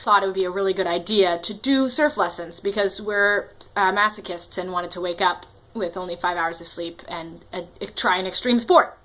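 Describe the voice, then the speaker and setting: A woman at medium pitch talks at a moderate pace with ordinary pitch variation. Her loudness swings widely, and there is noticeable background noise. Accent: American. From US Northeast, Connecticut. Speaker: storytelling vlogger. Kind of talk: personal storytelling monologue. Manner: animated.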